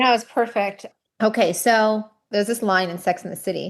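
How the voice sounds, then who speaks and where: Over a quiet background, a woman speaks at a moderate pace with fairly even intonation in an unremarkable speaking voice, with an American accent. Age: 40s. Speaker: nonprofit founder. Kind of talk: podcast interview.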